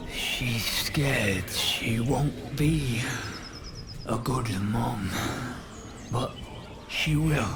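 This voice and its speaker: A man puts on a character voice at a medium pitch and a very slow pace. Loud background noise and a slight echo surround him. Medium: machinima. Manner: fragmented, halting phrases.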